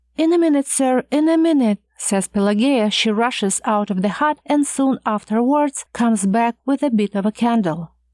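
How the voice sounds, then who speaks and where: In an unremarkable speaking voice at fairly high pitch, a woman talks at a moderate pace with lively intonation and very even loudness, recorded very cleanly against a silent background with a dry, close sound and no echo. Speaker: audiobook narrator. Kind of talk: audiobook narration of a classic short story.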